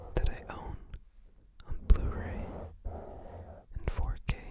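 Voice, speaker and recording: The speaker is whispering. Noticeable background noise can be heard. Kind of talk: ASMR whispered show-and-tell of a movie collection. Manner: whispered, soft-spoken.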